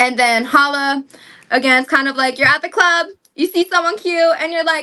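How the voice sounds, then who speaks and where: Using a raised, projected voice, a woman speaks at a high pitch with ordinary pitch variation and a bright, sharp tone. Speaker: singer promoting debut album. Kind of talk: casual interview chat. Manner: fast.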